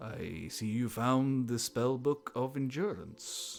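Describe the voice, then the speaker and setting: A man puts on a booming character voice at medium pitch. He goes at a fairly slow pace. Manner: grand, announcing.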